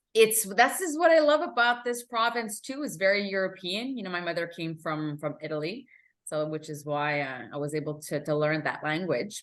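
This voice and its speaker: Speaking at a moderate pace with a Quebec accent, the voice moves through very wide pitch swings. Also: woman, fairly low pitch for a woman. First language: French (Italian learned first). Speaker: emotional intelligence coach. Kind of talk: interview.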